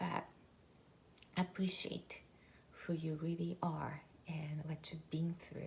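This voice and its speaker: A woman with a Japanese accent speaks at a very slow pace. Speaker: mindset coach. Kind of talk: motivational talk. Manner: conversational, many fillers.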